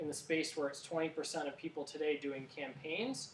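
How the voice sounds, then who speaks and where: A man speaks in a fairly high pitch over noticeable background noise. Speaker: startup co-founder giving a talk. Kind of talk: talk with audience Q&A. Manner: fast; hesitant, many fillers and restarts.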